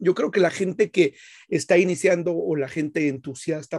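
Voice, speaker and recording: A man's high-pitched voice with a dark, mellow tone, in a dry, close sound with no echo. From Guatemala. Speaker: podcast host, car detailer. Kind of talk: casual chat. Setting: live stream, remote call.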